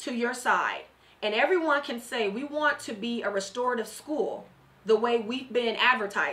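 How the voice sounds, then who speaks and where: The speaker has an American accent and talks at a fairly slow pace. The intonation is lively. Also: woman. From Southeast San Diego, California; California. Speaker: candidate for district attorney; candidate. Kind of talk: radio interview. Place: studio. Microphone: studio mic.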